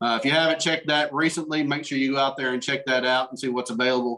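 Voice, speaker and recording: A man at a very fast pace and very even loudness, against a quiet background. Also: fairly even intonation. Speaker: meeting host. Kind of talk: meeting announcements. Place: home room. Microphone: video call.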